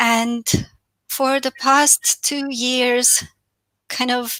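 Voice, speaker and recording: This woman's high-pitched voice has a bright, sharp tone and fairly even intonation, delivered in a Romanian accent. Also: dry, close sound with no echo. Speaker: financial and business coach. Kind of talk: webinar talk.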